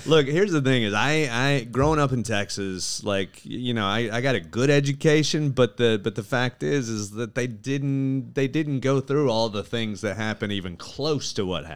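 A plain, everyday voice from a man at medium pitch, speaking at a moderate pace with ordinary pitch variation and hardly any pauses, on a very clean recording with a silent background. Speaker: stand-up comedian. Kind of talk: casual chat.

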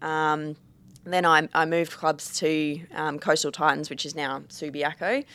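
The delivery is monotone with flat intonation, on a very clean recording with a silent background. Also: woman, very deep, low pitch for a woman, fairly slow pace. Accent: Australian. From Perth, Western Australia. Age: 20s. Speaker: Australian rules football player. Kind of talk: casual chat.

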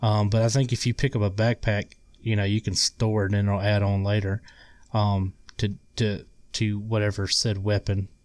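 Recorded very cleanly against a silent background, dry and close with no echo, a man speaks with a Southern US accent in a monotone, flat delivery at very even loudness. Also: moderate pace. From Mississippi. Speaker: guest gamer. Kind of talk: casual chat.

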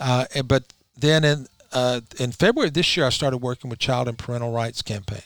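Talking at a fairly quick pace, a man with a Southern US accent keeps a medium pitch and fairly even intonation. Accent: Southern US (Georgia). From US South, Rome, Georgia. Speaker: lawyer. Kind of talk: interview. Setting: studio.

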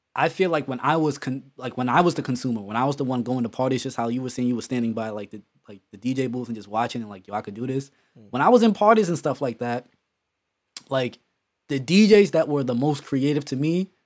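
At a fairly quick pace, a man with a normal speaking voice and medium pitch talks with ordinary pitch variation and big swings in loudness. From Bronx, New York, then New Jersey. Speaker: podcast host and DJ. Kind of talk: casual chat.

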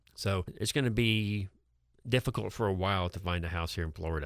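On a very clean recording with a silent background, a man with a very deep, low pitch talks at a fairly quick pace with ordinary pitch variation. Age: 50s. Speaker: financial advisor. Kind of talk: radio talk show interview. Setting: radio studio. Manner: conversational, repeats words often.

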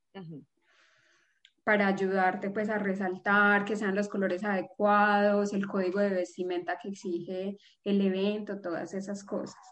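Her intonation monotone and flat, a woman speaks at a medium pitch and a fairly slow pace. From Colombia, Pereira. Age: 30s. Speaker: image consultant and fashion designer. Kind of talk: casual interview.

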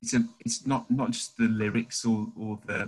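A man speaks with a British accent. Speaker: church youth team member. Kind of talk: casual chat.

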